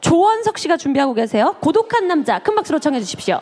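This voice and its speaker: A woman at a very fast pace, energetic in tone, with very wide pitch swings amid noticeable background noise. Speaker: music podcast co-host. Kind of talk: casual chat, introducing a stage act. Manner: energetic, strong voice.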